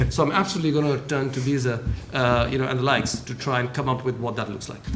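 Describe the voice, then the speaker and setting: Very fast speech with fairly even intonation, audible room echo and noticeable background noise. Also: man, medium pitch for a man. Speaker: government trade official. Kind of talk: panel discussion.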